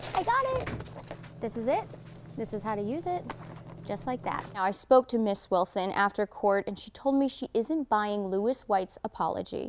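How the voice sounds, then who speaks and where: A woman with an American accent and a fairly high pitch, at a moderate pace with ordinary pitch variation, over noticeable background noise. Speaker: TV investigative reporter and fill-in anchor. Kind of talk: news package voiceover.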